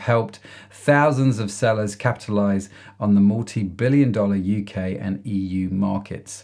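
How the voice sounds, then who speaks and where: A man is speaking here. He talks with an English accent. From England. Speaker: podcast host. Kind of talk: podcast interview.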